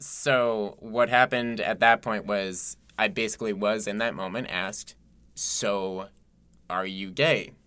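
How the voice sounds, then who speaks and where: A man's fairly low, bright, sharp voice in an American accent, fairly slow with ordinary pitch variation, in a very clean recording with a silent background. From Massachusetts. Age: 20s. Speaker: podcast co-host and bartender. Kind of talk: casual conversation. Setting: recording studio booth.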